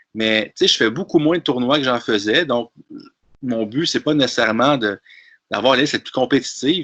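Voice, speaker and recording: A man speaks in a Quebec accent at a medium pitch, with ordinary pitch variation. His tone is bright and sharp, and the sound is dry and close with no echo. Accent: Québécois French. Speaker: tabletop wargame player. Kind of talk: casual discussion. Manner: hesitant with frequent repetitions.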